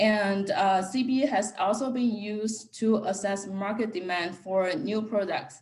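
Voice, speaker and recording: A woman with a fairly high pitch and a somewhat breathy voice talks fairly slowly, her pitch varying in an ordinary way. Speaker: economics researcher. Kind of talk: academic seminar talk.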